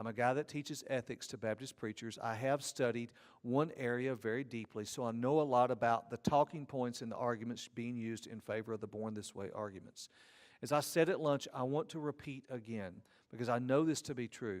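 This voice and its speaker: Speaking in a Southern US accent, a man uses a medium pitch with ordinary pitch variation and a fairly quick pace, on a very clean recording with a silent background. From Georgia, US South. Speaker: seminary professor of ethics. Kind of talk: conference lecture.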